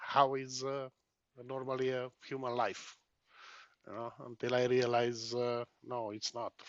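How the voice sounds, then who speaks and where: A man with a Hungarian accent, medium pitch, monotone and flat intonation, at a fairly slow pace. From Romania, Hungarian minority. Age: 50s. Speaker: trucker and protester. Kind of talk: interview. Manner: halting.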